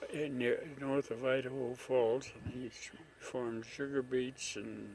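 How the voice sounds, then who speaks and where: A man speaks at a very slow pace with a medium pitch. His intonation stays monotone and flat. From Idaho, raised in Utah and Montana. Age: 80s+. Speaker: war veteran. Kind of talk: interview answer.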